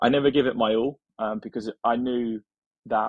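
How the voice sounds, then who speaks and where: A man with an English accent, medium pitch, monotone, flat intonation and a moderate pace. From England. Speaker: software engineer. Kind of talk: interview.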